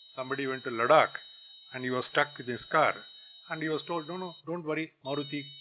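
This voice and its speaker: Against noticeable background noise, a man with a fairly high voice talks at a fairly quick pace. His intonation stays fairly even. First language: Tamil. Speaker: guest lecturer, business executive. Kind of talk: lecture. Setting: college campus lecture hall.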